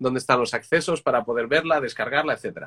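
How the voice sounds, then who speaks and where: Recorded with a dry, close sound and no echo, a man speaks in a bright, sharp tone at a fairly high pitch with ordinary pitch variation. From Madrid, Spain. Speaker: music interviewer, singer. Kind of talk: casual live-stream interview. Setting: Instagram live video call. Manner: animated.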